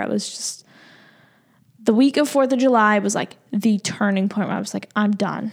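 A woman with an American accent, fairly high pitch, ordinary pitch variation, and moderate pace, in a very clean recording with a silent background. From Massachusetts, Boston area. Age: 20s. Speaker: podcast host and fitness instructor. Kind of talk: solo podcast monologue. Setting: office.

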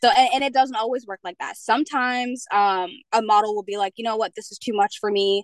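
With a Mid-Atlantic accent, a woman speaks very fast at a fairly high pitch, with ordinary pitch variation and big swings in loudness, in a dry, close sound with no echo. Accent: American, mid-Atlantic. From Pennsylvania. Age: 20s. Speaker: fashion model. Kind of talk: interview. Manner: hesitant, many fillers.

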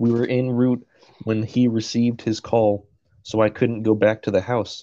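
Quiet surroundings behind a natural reading voice

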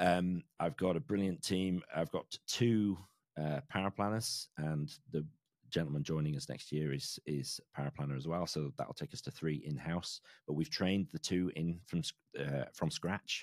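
In a very clean recording with a silent background and a dry, close sound with no echo, a man with an English accent speaks at a very deep, low pitch, a moderate pace and ordinary pitch variation. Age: 40s. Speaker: financial planner and podcaster. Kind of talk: interview conversation.

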